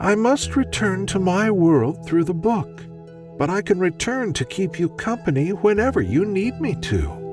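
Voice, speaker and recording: A high-pitched man with an American accent and lively intonation, at a fairly slow pace, with music in the background. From Midwest U.S. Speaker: voice actor. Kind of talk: sleep story.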